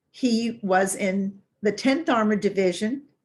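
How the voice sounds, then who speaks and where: A somewhat breathy voice with an American accent, very slow pace and ordinary pitch variation, on a very clean recording with a silent background. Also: woman. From US South, Tennessee. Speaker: brain health fitness instructor. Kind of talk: casual talk to camera.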